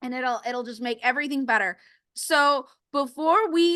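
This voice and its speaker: A woman's high, bright, sharp voice, raised and projected, against a quiet background. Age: 30s. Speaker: podcast host. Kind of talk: casual interview chat. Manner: animated.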